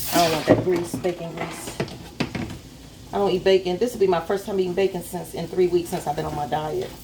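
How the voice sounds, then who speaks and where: A woman with a fairly low pitch talks at a fairly quick pace with fairly even intonation over noticeable background noise. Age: 60s. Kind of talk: casual cooking vlog. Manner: casual, rambling self-talk.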